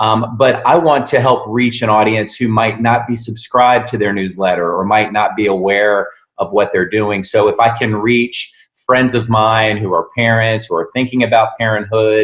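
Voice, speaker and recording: A man with an American accent and an unremarkable speaking voice talks at a moderate pace, medium in pitch with fairly even intonation. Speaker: sales consultant and voice narrator. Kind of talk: interview answer.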